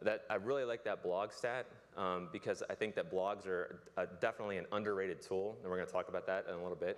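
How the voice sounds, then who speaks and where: A man talks at a very fast pace with hardly any pauses. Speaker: public relations speaker. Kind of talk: conference talk. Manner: casual.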